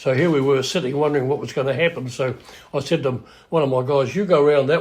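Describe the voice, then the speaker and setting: Somewhat breathy, fairly high male voice with a New Zealand accent at a very fast pace. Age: 80s+. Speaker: house moving pioneer. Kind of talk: interview storytelling.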